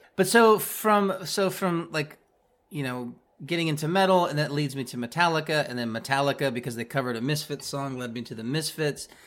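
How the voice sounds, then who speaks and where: In a very clean recording with a silent background, a man with a normal speaking voice and fairly high pitch talks at a fairly quick pace. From US Midwest. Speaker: musician. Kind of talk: casual interview chat.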